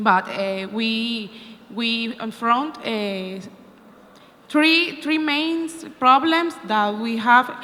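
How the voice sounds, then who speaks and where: Against noticeable background noise, a woman with a Venezuelan accent speaks in a high pitch with ordinary pitch variation. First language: Spanish. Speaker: opposition party politician. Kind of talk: conference speech. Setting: conference room with live translation. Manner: halting, many fillers.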